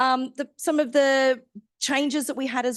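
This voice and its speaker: Loud and high-pitched, a woman speaks with an Australian accent. The sound is dry and close, with no echo. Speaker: science outreach organiser. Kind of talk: stakeholder briefing presentation. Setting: hybrid meeting, in person and online. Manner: hesitant, many fillers.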